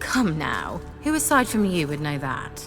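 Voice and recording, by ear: A woman uses a put-on character voice, low-pitched, with very wide pitch swings. She goes at a fairly slow pace over clear background music.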